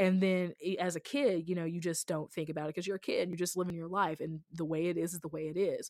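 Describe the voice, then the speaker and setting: A woman's plain, everyday voice with an American accent, fairly low in pitch, with fairly even intonation and a dry, close sound with no echo. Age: 30s. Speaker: podcaster and anti-racism writer. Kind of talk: casual interview. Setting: remote recording.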